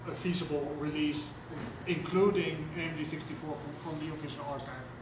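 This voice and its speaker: A man speaks at a moderate pace in a monotone, flat intonation. Noticeable background noise and audible room echo surround his voice. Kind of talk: discussion session contribution. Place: meeting room. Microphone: camera far.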